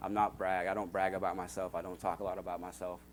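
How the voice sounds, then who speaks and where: Talking at a very fast pace, this speaker has an American accent. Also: man. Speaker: church member giving testimony. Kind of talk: testimony. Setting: church. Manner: casual.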